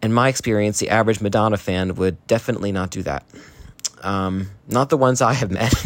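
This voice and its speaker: Against noticeable background noise, a man talks at a very fast pace in a fairly low pitch with ordinary pitch variation. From New Jersey, US. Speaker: listener sending voice memo. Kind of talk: recorded voice message.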